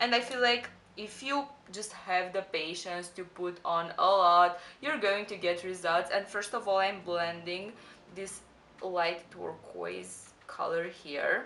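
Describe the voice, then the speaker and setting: With a non-native accent, the voice moves at a very slow pace in a bright, sharp tone with ordinary pitch variation. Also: woman, medium pitch for a woman. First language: not English. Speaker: beauty youtuber. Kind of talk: tutorial. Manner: casual, chatty.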